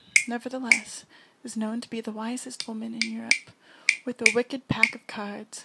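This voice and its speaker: A soft-spoken woman with a fairly high voice talks at a moderate pace over noticeable background noise. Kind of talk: poetry reading.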